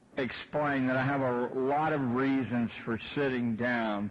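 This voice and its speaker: There is noticeable background noise as a man speaks. He talks at a fairly slow pace in a medium pitch. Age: 70s. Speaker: education critic and former teacher. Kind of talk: lecture.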